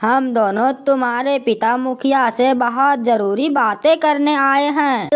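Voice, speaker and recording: A woman's put-on character voice, high-pitched, at a very slow pace, with fairly even intonation and very even loudness. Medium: audio drama. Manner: rustic, cheeky.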